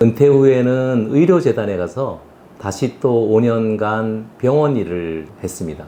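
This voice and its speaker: Lively in intonation but very slow in pace, a man speaks at medium pitch with a dark, mellow tone. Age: 60s. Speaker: retired executive, career coach. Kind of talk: interview.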